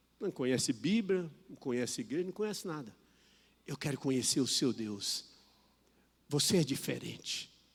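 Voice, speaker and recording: A man speaks at a moderate pace in a fairly high pitch, with very wide swings up and down and long, frequent pauses. The recording is very clean, with a silent background. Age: 60s. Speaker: preacher. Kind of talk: sermon.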